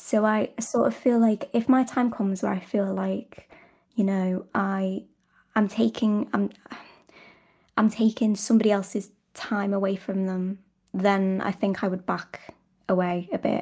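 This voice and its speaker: A woman with a British accent and a dark, mellow tone speaks at a fairly slow pace with fairly even intonation and long, frequent pauses. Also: medium pitch for a woman. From Britain. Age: 20s. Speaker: ASMR content creator. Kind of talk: casual interview chat.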